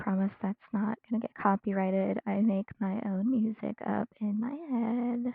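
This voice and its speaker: Soft-spoken and fairly high-pitched, a woman talks at a fairly slow pace with hardly any pauses. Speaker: streamer, digital artist. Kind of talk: casual live-stream chat while drawing. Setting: live stream at home. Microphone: quiet mic.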